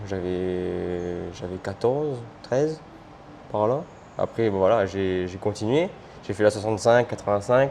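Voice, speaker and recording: Pausing long and often, a man with a fairly low pitch speaks at a fairly slow pace with ordinary pitch variation. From Réunion, Le Port. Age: 20s. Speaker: motorcycle racer. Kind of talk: interview. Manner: halting.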